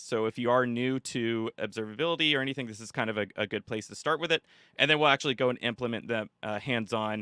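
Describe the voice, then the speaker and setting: With ordinary pitch variation, a man talks at a medium pitch. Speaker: ML workshop presenter. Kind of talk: live workshop lecture. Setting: live stream. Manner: fast when excited; casual, filler-heavy.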